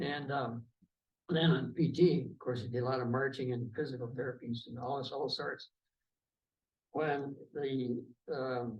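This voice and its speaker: With an Upper Midwest accent, a man speaks at medium pitch and a moderate pace, somewhat breathy, with fairly even intonation, long, frequent pauses and audible room echo. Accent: Upper Midwest American. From Wisconsin. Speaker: war veteran. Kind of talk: oral history interview. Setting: veterans' hall.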